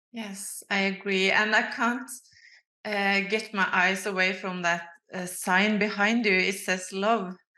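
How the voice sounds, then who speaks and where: Very slowly and in a monotone, flat way, a woman speaks at medium pitch with a bright, sharp tone and audible room echo. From Norway. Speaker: clairvoyant healer. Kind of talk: casual conversation. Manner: halting.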